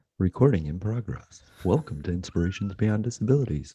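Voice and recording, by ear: Booming and fairly low, a man's put-on character voice moves at a fairly quick pace with lively intonation.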